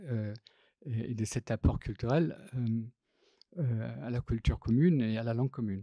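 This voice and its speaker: A man speaks at a medium pitch with a dark, mellow tone, and the very clean recording has a silent background and a dry, close sound with no echo. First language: not French (speaking French). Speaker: graphic designer and typographer. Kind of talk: public talk. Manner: halting, many hesitations.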